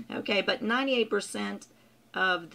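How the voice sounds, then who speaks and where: A woman talks at a moderate pace with vocal fry. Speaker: customer service trainer. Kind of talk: tutorial. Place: home room. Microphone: webcam.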